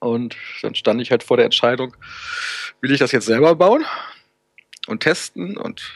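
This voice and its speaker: In a dry, close recording with no echo, a man talks at a moderate pace, his pitch swinging very widely. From northern Germany, Hannover. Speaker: web developer and volunteer support forum moderator. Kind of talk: casual interview.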